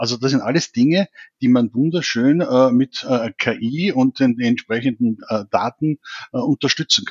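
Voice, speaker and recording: A man speaks in a Viennese accent at a medium pitch. His pace is moderate, with ordinary pitch variation. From Austria, Vienna. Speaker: digital government consultant. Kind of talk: expert interview. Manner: hesitant, many fillers.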